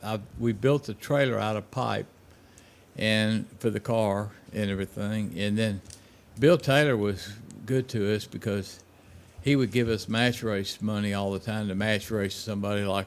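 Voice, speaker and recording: With a Memphis accent, a man talks at a moderate pace in a fairly low pitch with fairly even intonation. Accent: Southern US (Memphis). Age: 70s. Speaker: drag racer, hot rodder. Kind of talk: casual chat.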